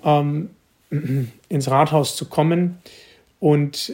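Fairly even intonation comes through in a somewhat breathy voice. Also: man. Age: 20s. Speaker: mayor. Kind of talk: interview answers.

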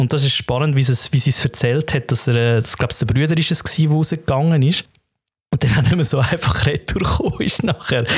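The speaker talks at a very fast pace with a Swiss German accent. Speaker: podcast co-host. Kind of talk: casual chat.

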